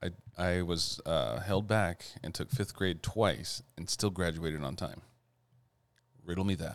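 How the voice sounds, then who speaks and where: A man with a very deep, low pitch talks at a fairly slow pace, with long, frequent pauses and ordinary pitch variation. The recording is very clean, with a silent background. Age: 30s. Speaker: podcast host. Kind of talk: casual chat. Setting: recording at home.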